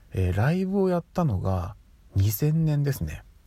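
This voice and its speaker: On a very clean recording with a silent background, a man with a dark, mellow, somewhat breathy voice talks at a moderate pace with lively intonation. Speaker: podcast host. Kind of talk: casual solo monologue. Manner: frequent filler hesitations.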